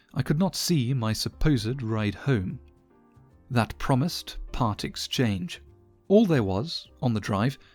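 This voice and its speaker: Music plays in the background as a man speaks at a fairly slow pace. His pitch sits in the medium range. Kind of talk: first-person story narration.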